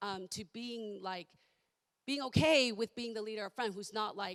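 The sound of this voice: At a moderate pace, a woman speaks at medium pitch with ordinary pitch variation, her croaky voice carrying a fairly bright tone.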